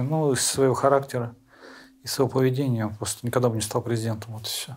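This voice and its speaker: Monotone, flat intonation runs through speech delivered at a very fast pace. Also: man, big swings in loudness. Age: 40s. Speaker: prisoner of war, contract soldier. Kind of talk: interview. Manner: halting.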